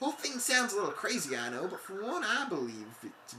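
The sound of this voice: A reading voice that is unforced.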